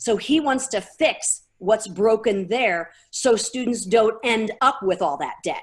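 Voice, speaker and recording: In a very clean recording with a silent background, an unremarkable speaking voice with an American accent moves at a fairly slow pace with lively intonation. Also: woman. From St. Louis, Missouri. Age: 50s. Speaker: activist. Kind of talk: interview.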